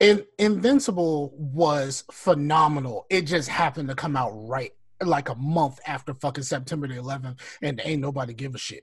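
A man's somewhat breathy voice shows big swings in loudness. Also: fairly high pitch for a man, ordinary pitch variation, moderate pace. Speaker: podcast co-host. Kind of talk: casual chat.

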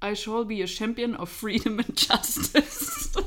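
Her voice sits fairly high. The speaker is a woman. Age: 30s. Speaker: podcast host. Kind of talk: casual chat.

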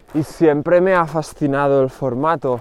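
Noticeable background noise sits behind a man's voice. He talks at a fairly slow pace with fairly even intonation. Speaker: podcast host and rapper. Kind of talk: solo podcast monologue. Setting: outdoors, walking.

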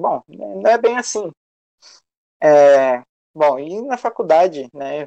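Swinging very widely in pitch, a man with a fairly high voice has a dark, mellow tone. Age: 20s. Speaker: history student and youth activist. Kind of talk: casual discussion. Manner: halting, many fillers.

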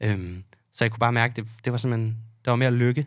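A man's medium-pitched voice in a flat, monotone delivery. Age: 20s. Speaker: bartender. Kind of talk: casual chat. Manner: hesitant, many fillers.

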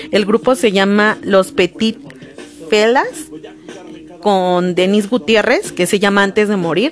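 At a very slow pace with long, frequent pauses, a woman speaks at medium pitch with lively intonation and very even loudness over noticeable background noise. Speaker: podcast host. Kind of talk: solo podcast monologue. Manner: occasional stammering.

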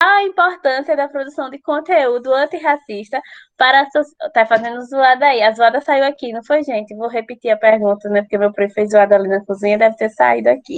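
Lively in intonation, a woman with a high-pitched voice talks at a fairly quick pace. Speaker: podcast host. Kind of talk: casual chat. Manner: fast; animated.

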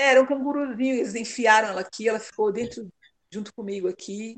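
A plain, everyday voice from a woman, fairly high in pitch, at a moderate pace with ordinary pitch variation and a dry, close sound with no echo. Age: 50s. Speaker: mother sharing her story. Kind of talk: casual interview conversation.

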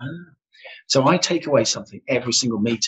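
Somewhat breathy, a man's voice moves at a fairly quick pace. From West Midlands, Solihull. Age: old. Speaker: public speaking club president. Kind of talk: casual interview chat.

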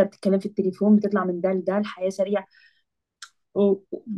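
This woman's voice sits at a medium pitch, dark and mellow in tone. Her intonation is monotone and flat. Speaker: engineering master's student. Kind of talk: casual podcast conversation.

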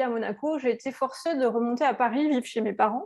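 A woman speaks at a fairly quick pace in a high voice, her intonation lively. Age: 40s. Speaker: entrepreneur and digital marketing consultant. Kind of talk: interview. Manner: hesitant, many fillers.

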